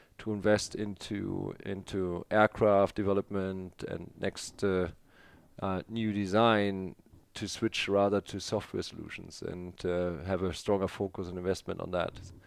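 The background is quiet as a man with a German accent speaks at a moderate pace. His fairly low voice stays monotone and flat. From northern Germany. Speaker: aerospace executive. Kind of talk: interview. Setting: in person in Berlin.

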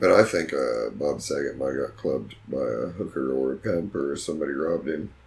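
Noticeable background noise is present throughout. A man speaks over it at a fairly quick pace. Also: hardly any pauses. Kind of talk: casual chat. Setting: studio.

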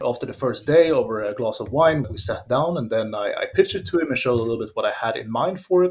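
A man talks at a very fast pace, barely pausing at all. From Sweden. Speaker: board game designer. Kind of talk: interview.

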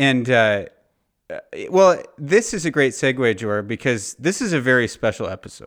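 A man in a Californian accent talks at a moderate pace and medium pitch, with lively intonation. The recording is very clean, with a silent background. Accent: Californian American. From Southern California. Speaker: podcast host. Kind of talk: casual chat.

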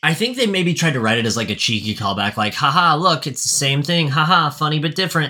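A man talks at a very fast pace with lively intonation. His pitch is fairly high. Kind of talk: casual chat. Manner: loud; animated.

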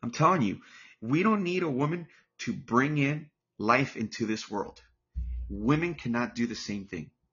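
Using vocal fry and an animated tone, a man speaks at a moderate pace in a medium pitch with very wide pitch swings. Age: 40s. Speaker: podcast host. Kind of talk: solo monologue, opinion rant. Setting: home. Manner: repetitive, halting.

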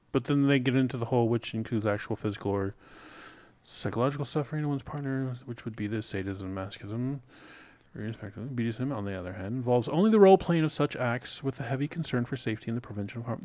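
Mumbling in a put-on character voice, a man rushes along at a very fast pace with a medium pitch and ordinary pitch variation. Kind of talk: casual podcast talk.

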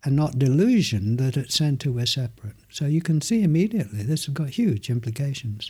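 This man's fairly high voice is dark and mellow, calm and gentle, and somewhat breathy. He talks fairly quickly with lively intonation and hardly any pauses. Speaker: meditation teacher. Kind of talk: interview conversation with guided experiments. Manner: calm, gentle.

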